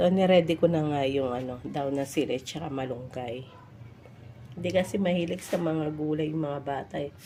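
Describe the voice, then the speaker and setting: Ordinary pitch variation in a woman's very deep, low voice. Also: moderate pace. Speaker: vlogger. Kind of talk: cooking vlog. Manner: casual, halting with fillers.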